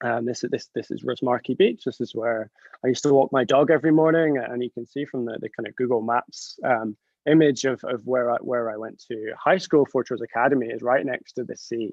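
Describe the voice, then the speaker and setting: In a Scottish accent, a man at medium pitch speaks at a fairly quick pace with fairly even intonation. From northern Scotland. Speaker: chemist. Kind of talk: presentation talk. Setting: video call. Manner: halting.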